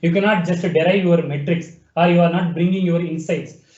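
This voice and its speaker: Over noticeable background noise, a man speaks at a high pitch and a fairly quick pace. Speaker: webinar presenter demonstrating software. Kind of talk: software tutorial demo. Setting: online webinar.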